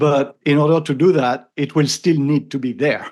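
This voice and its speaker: Against a quiet background, a man talks with a strong French accent. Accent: thick French. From France. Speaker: AI consultant and podcaster. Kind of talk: interview conversation. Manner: halting with repetitions.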